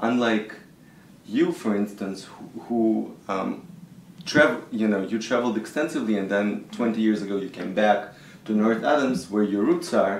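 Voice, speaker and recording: Audible room echo follows a man who speaks at a moderate pace in a fairly low pitch with ordinary pitch variation. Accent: Russian. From Israel (born in Russia). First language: Russian. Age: 40s. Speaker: composer. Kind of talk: interview. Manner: hesitant, with fillers.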